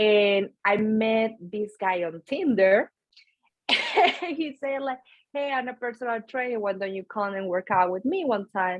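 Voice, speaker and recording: A woman with a strong Venezuelan accent speaks fairly slowly at a fairly high pitch. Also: ordinary pitch variation. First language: Spanish. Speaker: nutrition coach and powerlifter. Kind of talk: podcast interview.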